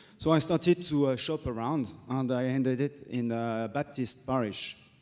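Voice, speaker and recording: A man talks in a French accent at a moderate pace. His pitch is medium, with ordinary variation. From France. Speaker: Dominican friar. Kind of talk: panel discussion.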